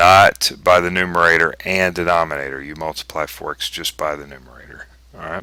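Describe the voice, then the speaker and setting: A man speaks at a very deep, low pitch with a bright, sharp tone and flat, monotone intonation. His loudness swings widely on a very clean recording with a silent background. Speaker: math teacher. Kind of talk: tutorial. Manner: slow.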